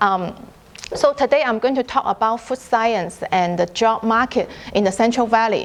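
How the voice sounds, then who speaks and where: The speaker talks with a Chinese accent at a moderate pace and ordinary pitch variation. Noticeable background noise is present. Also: woman, fairly high pitch for a woman. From China. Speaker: food scientist. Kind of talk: lecture. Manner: halting.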